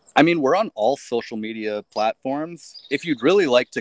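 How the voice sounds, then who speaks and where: At a fairly quick pace, a man with an American accent speaks in a dry, close sound with no echo. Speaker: band musician. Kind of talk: casual interview.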